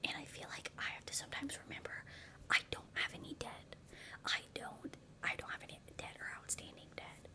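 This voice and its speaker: A woman whispers at a fairly quick pace. Noticeable background noise sits behind her. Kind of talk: ASMR talking to camera, life advice. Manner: whispered, soft-spoken.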